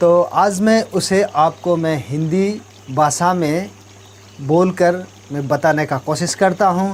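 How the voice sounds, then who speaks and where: A man speaks in a high pitch with an Arunachal Pradesh accent and ordinary pitch variation. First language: Nyishi (speaking Hindi). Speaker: talk show host. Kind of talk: talk show explanation of proverbs.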